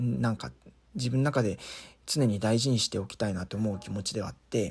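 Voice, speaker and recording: The voice is somewhat breathy and moves at a fairly quick pace. Its pitch varies in an ordinary way. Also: man. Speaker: solo podcaster. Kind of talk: casual monologue. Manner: hesitant, many fillers.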